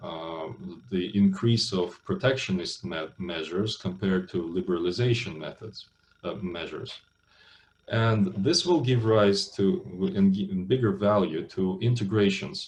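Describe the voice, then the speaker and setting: A man with a Russian accent talks at a fairly low pitch. He goes at a fairly slow pace with ordinary pitch variation. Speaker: business school lecturer. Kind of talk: lecture. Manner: hesitant, many fillers.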